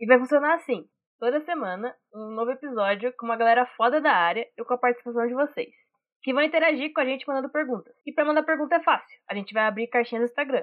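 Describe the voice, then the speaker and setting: Very fast speech from a woman with a high voice, its pitch varying in an ordinary way. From interior of São Paulo state, Brazil. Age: 20s. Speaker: podcast host, art director. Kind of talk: scripted podcast intro.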